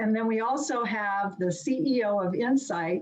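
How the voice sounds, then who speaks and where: A somewhat breathy woman at a fairly high pitch and a very slow pace. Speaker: webinar moderator. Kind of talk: speaker introduction. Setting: video call.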